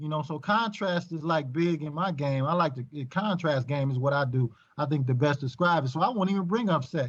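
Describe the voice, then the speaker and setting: A somewhat breathy man with an American accent talks at a fairly quick pace with hardly any pauses against a quiet background. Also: ordinary pitch variation. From Michigan, US Midwest. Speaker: podcast guest. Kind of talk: casual chat. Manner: halting.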